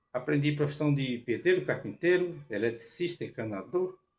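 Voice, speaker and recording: This man speaks at a moderate pace in a fairly high, somewhat breathy voice. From Brazil, rural Bahia. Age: 80s+. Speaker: forró musician and former farmworker. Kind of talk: personal storytelling with home tour. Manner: halting.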